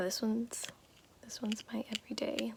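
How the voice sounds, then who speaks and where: A woman speaks in a gentle tone at a fairly slow pace. She is soft-spoken. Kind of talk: ASMR makeup roleplay, soft-spoken tutorial to the listener. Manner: soft-spoken, gentle, slow.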